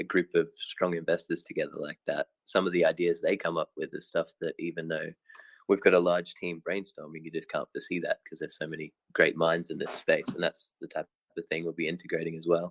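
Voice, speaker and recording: The sound is dry and close with no echo as a man talks at a fairly quick pace with an Australian accent. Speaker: crypto project team member. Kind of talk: online Q&A session.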